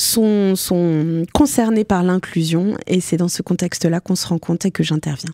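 A woman speaks with a fairly low pitch and a dark, mellow tone at very even loudness. The sound is dry with no echo, over a quiet background. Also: ordinary pitch variation, moderate pace. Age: 40s. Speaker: mental health speaker living with bipolar disorder. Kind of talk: radio interview. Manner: hesitant, many fillers. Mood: calm, reflective, personal. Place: studio. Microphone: studio mic.

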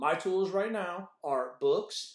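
A man's high-pitched voice in a quiet background with audible room echo. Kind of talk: devotional teaching. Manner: passionate. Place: office. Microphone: webcam.

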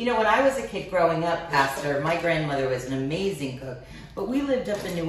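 Amid light background noise and audible room echo, a woman with a fairly low pitch rushes along at a very fast pace with lively intonation. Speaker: cooking show host. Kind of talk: cooking tutorial chat. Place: kitchen. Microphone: camera far.

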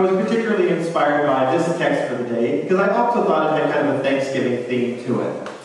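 A man's fairly quick, lively-intoned speech in strong room echo, with light background noise. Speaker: preacher. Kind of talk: sermon. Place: church. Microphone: camera far.

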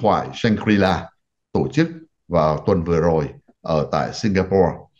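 A man speaks at a moderate pace with vocal fry. The background is quiet. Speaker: TV talk show host, physician; TV talk show host. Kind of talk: political discussion. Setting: studio. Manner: formal. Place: home room. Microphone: video call.

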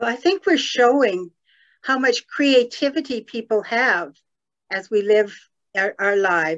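A woman with a fairly high pitch speaks at a fairly slow pace. Her pitch swings very widely against a quiet background. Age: 70s. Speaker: guest. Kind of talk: reading aloud stories. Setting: video call. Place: home room. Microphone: video call.

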